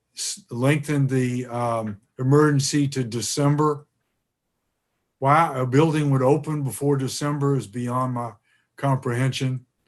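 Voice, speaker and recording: A man's medium-pitched voice, fairly slow and flat in intonation, with long, frequent pauses. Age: 70s. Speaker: political candidate and retired teacher. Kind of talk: interview. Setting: live stream interview. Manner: halting, many fillers and restarts.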